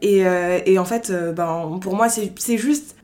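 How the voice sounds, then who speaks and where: A woman's voice with ordinary pitch variation. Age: 20s. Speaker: podcast guest. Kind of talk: casual interview, personal testimony. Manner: hesitant, many fillers (euh).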